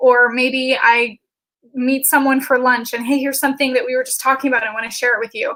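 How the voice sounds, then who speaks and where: Raised, projected voice, bright and sharp, very fast and monotone with flat intonation. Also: woman, high pitch for a woman. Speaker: video marketing expert. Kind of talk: interview.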